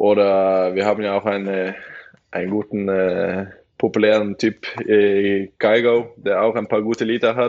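Fairly low in pitch, a man talks at a fairly slow pace with monotone, flat intonation. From western Norway (Bergen area). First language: Norwegian (speaking German). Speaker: professional handball player. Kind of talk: casual podcast interview.

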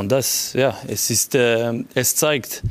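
A man speaks with a French accent at a medium pitch. His intonation stays fairly even. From Geneva, French-speaking Switzerland. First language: French (speaking German). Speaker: football sporting director. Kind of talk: panel interview. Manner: halting.

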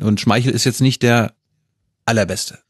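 A man talks at a fairly quick pace and medium pitch with ordinary pitch variation. The recording is dry and close with no echo, over a quiet background. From Mecklenburg-Vorpommern, northeast Germany. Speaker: journalist, podcast host as guest. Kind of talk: casual chat.

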